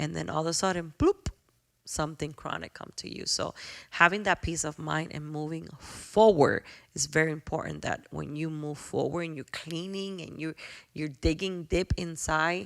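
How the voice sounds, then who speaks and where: A woman with a Spanish accent talks at a moderate pace in a very deep, low pitch, her intonation fairly even. Her loudness swings widely, and the recording is very clean with a silent background. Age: 40s. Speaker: podcast host. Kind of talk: podcast monologue. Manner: heartfelt, reflective.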